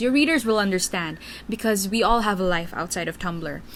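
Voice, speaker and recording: With a Filipino accent, a woman talks at a moderate pace. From Philippines. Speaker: Tumblr writer and vlogger. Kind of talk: casual Q&A vlog. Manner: hesitant, many fillers.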